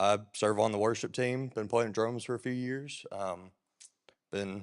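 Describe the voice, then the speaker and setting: A man with a Southern US accent, medium in pitch, at a fairly slow pace with fairly even intonation, over a quiet background. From US South, Alabama. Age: young. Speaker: church drummer. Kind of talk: testimony.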